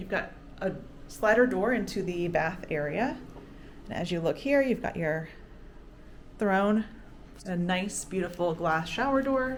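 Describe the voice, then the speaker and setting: A woman speaks at a medium pitch and a fairly slow pace with lively intonation, long, frequent pauses and audible room echo. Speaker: travel vlogger. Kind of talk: room tour vlog. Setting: hotel room. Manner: animated.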